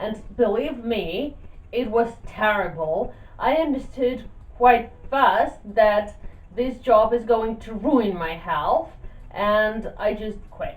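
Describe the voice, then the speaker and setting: Lively intonation from a woman in a Russian accent, fairly high pitch, very slow pace, with audible room echo. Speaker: YouTuber. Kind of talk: casual vlog talk.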